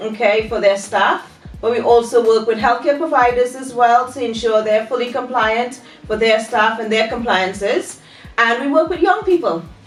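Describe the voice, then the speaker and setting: Moderate-paced speech from a woman, fairly high in pitch with ordinary pitch variation, amid noticeable background noise and audible room echo. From Trinidad and Tobago. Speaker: training business owner. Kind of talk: podcast interview. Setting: studio.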